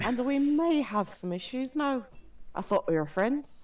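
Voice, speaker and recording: With an Irish accent, a woman speaks at a moderate pace in a high pitch, her voice swinging very widely up and down. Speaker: vtuber. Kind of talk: casual chat.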